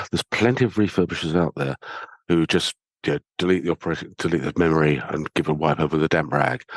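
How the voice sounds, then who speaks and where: Talking at a very fast pace, a man with a very deep, low voice uses ordinary pitch variation, and the sound is dry and close with no echo. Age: 60s. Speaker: sustainability officer of a refurbished IT company. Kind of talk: podcast interview. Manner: conversational.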